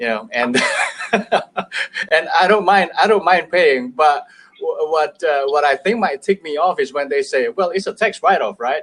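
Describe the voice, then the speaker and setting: A man with an Indonesian accent at a moderate pace, in a dry, close sound with no echo. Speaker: business owner. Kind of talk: casual chat. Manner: halting.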